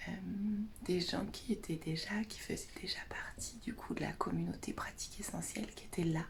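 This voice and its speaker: A woman whispers at a fairly slow pace, with audible echo from the room. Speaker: naturopath and essential oils advisor vlogger. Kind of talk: casual vlog. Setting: bedroom at a friend's house, morning. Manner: whispering.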